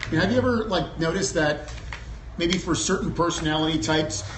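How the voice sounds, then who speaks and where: Over noticeable background noise and audible room echo, a man talks with lively intonation at a fairly high pitch. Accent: American. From Germany (US military family). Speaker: entrepreneur, personality assessment founder. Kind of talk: talk at business luncheon. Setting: luncheon event with audience. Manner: conversational, many fillers.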